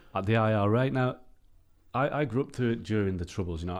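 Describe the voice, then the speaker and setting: Very fast and with ordinary pitch variation, a man talks in an English accent on a very clean recording with a silent background. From England. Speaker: football journalist. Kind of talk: casual interview.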